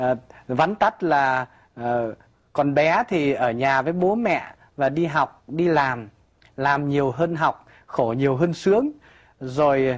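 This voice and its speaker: A man talks at a very slow pace with long, frequent pauses and very even loudness. His pitch variation is ordinary, and the background is quiet. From northern Vietnam. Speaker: priest guest. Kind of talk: interview, personal testimony. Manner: forceful. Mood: calm, reflective storytelling. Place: studio. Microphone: lapel.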